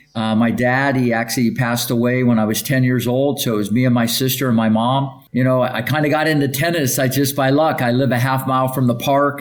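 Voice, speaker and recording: With an American accent, a man talks at a fairly quick pace and medium pitch in very even loudness, with noticeable background noise. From US Midwest, Ohio. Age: 60s. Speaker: tennis coach. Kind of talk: interview. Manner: energetic.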